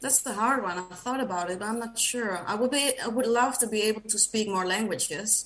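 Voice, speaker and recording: Speaking at a fairly quick pace with hardly any pauses, a woman with a Dutch accent uses a fairly high pitch and ordinary pitch variation. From Netherlands. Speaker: podcast guest, runner. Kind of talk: casual interview chat. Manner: hesitant, many fillers.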